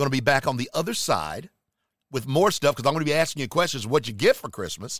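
The speaker has a North Carolina accent and a fairly quick pace. The very clean recording is dry and close with no echo, over a silent background. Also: man. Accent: Southern US (North Carolina). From US South, Charlotte, North Carolina. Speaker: podcast host. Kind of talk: casual holiday message monologue. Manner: loud; energetic.

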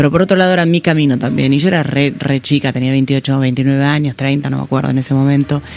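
A man with an Argentine accent speaks very fast, his fairly high pitch kept to fairly even intonation. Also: hardly any pauses. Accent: Rioplatense Argentine Spanish. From Argentina, rural Buenos Aires province (Pigüé). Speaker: tech company executive. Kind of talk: interview. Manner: hesitant, with frequent repetitions.

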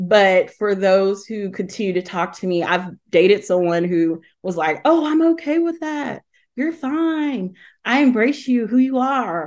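A woman with a Southern US accent, medium in pitch, her voice making very wide pitch swings. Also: fairly slow pace, quiet background. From Alabama, Talladega. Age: 30s. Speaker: HR professional and LGBTQ+ advocate. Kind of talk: interview storytelling.

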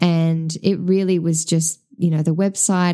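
Speaking in an Australian accent, a woman has a dark, mellow tone and fairly low pitch. She goes at a fairly slow pace. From Tasmania, Australia. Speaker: podcast host and small business owner. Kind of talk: solo podcast monologue.

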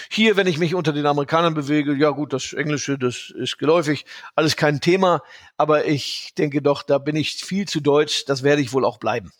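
A plain, everyday voice from a man, fairly high in pitch with ordinary variation, at a fairly quick pace, in a very clean recording with a silent background. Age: 50s. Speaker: portfolio manager. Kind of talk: interview.

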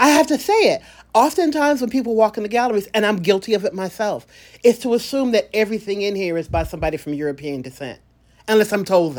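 A woman uses a normal speaking voice at medium pitch with lively intonation, captured in a very clean recording with a silent background. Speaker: podcast host. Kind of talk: interview, scripted intro and casual conversation.

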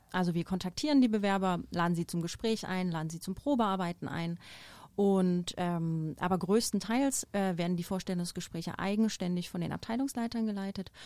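A woman's dark, mellow voice of medium pitch, with ordinary pitch variation and a moderate pace, in a very clean recording with a silent background. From eastern Germany, near Dresden. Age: 30s. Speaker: hotel HR director. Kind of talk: podcast interview. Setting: studio.

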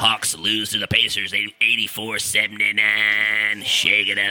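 A man speaks over noticeable background noise. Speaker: podcast host. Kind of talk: casual monologue.

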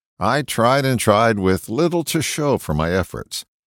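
A man's medium-pitched voice with vocal fry and very wide pitch swings at a moderate pace, dry and close with no echo in a very clean recording over a silent background. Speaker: broadcaster and self-help writer. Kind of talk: reading aloud an essay.

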